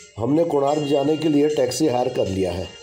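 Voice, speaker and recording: Over music in the background, a man speaks at a moderate pace with ordinary pitch variation. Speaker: travel vlog narrator. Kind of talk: travel narration.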